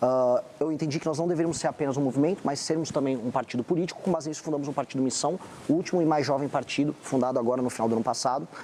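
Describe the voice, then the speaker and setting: A man talks at a very fast pace in a fairly high voice, with hardly any pauses. Noticeable background noise runs underneath. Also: ordinary pitch variation. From Brazil, São Paulo. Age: 40s. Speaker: presidential pre-candidate. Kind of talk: TV political interview.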